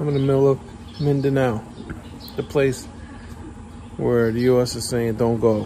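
A man with an American accent talks at a moderate pace in a monotone, flat intonation. He leaves long, frequent pauses, and there is light background noise. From United States. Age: 60s. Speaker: vlogger, expat in the Philippines; vlogger. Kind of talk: casual vlog monologue. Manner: rambling, halting with many fillers. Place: garage. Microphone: phone near.

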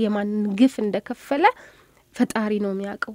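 Against a quiet background, a woman speaks with ordinary pitch variation in a dry sound with no echo. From Addis Ababa, Ethiopia. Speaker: volunteer and journalism student. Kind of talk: radio interview. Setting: studio. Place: studio.

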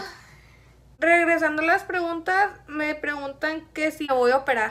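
A woman's raised, projected voice, extremely high in pitch, bright and sharp in tone, with fairly even intonation. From Chihuahua, Mexico. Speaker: beauty YouTuber. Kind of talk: casual chat.

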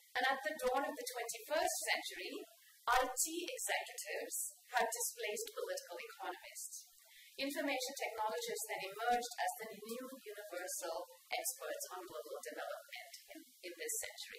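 A woman speaks at a moderate pace amid light background noise and audible room echo. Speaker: speaker. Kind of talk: lecture. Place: hall. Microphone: podium.

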